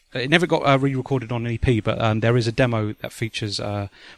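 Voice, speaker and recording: Ordinary pitch variation and a fairly quick pace with a British accent, in a very clean recording with a silent background. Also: man. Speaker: podcast host. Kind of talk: casual chat. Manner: hesitant, many fillers.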